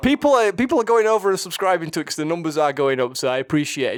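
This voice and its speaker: Speaking very fast in a strong Yorkshire accent, a man uses lively intonation. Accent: thick Yorkshire. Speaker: podcast co-host, film reviewer. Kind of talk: casual chat. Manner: halting, repeats words.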